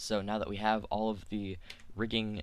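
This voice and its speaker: Audible room echo surrounds a man speaking at a fairly low pitch. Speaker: 3D software tutorial maker. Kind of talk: tutorial. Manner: fast; halting, filler words.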